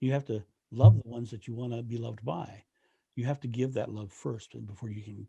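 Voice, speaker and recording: Speaking with an American accent at a fairly quick pace, a man has a medium pitch and a dark, mellow, somewhat breathy tone. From Delaware, US. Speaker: renaissance fair performer. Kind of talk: podcast interview. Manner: halting, repetitive starts.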